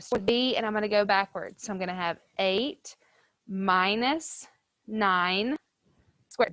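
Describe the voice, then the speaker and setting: A woman with a plain, everyday voice speaks at a fairly slow pace and fairly high pitch, with ordinary pitch variation and a dry, close sound with no echo. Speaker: high school math teacher. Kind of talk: classroom lecture. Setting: classroom with students, also streamed to virtual learners.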